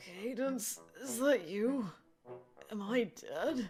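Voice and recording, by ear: A female-sounding, croaky put-on character voice talks at a fairly high pitch and a very slow pace. Music plays in the background.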